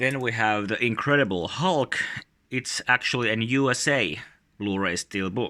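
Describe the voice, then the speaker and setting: Bright, sharp in tone, the voice has a Finnish accent. It holds a moderate pace with ordinary pitch variation. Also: man, medium pitch for a man. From Finland. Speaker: YouTuber, collector. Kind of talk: casual show-and-tell video. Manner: halting, many filler sounds.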